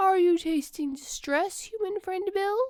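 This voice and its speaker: A woman puts on a character voice at an extremely high pitch. She speaks at a moderate pace. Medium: read story. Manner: formal, literal.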